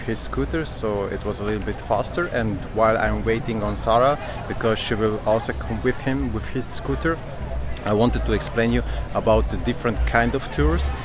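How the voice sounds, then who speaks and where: A man speaks at a moderate pace with a non-native accent. Noticeable background noise and audible room echo are present. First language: not English. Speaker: travel vlogger. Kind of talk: vlog talk to camera. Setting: outdoors at a harbor.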